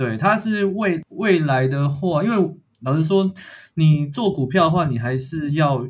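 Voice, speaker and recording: With a Taiwanese accent, a man speaks at a fairly slow pace in a somewhat breathy voice with lively intonation. The recording is very clean, with a silent background. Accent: Taiwanese Mandarin. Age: 20s. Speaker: power company employee and amateur investor. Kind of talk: casual chat.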